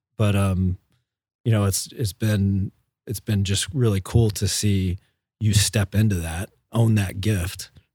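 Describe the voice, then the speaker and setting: In a very clean recording with a silent background and a dry, close sound with no echo, a man with an American accent speaks fairly slowly at a fairly low pitch, somewhat breathy and monotone, with long, frequent pauses. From Jacksonville, Florida. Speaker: team member. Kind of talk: casual team podcast chat.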